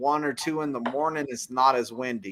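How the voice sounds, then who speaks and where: In a very clean recording with a silent background, a man with a Texan accent talks at a moderate pace, his fairly high pitch showing ordinary variation. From Texas. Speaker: truck driver, live stream host. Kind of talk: live stream chat.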